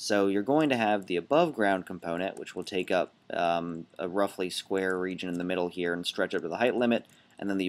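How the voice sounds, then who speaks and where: Speaking fairly quickly with hardly any pauses, a man has a very deep, low voice. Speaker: gaming video creator. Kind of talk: game commentary. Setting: away from usual recording spot. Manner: loud.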